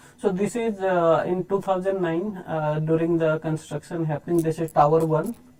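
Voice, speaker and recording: A man with an Indian accent talks in a high pitch and fairly even intonation over noticeable background noise. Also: moderate pace. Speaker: photographer. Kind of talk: live talk with slides. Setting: live online session. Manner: halting, many fillers.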